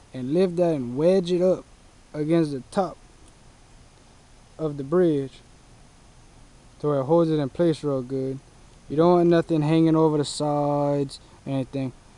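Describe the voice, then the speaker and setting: A man with a dark, mellow tone and fairly high pitch talks at a moderate pace with fairly even intonation and long, frequent pauses. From south Louisiana, Cajun. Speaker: product reviewer. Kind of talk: product review and tutorial. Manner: casual.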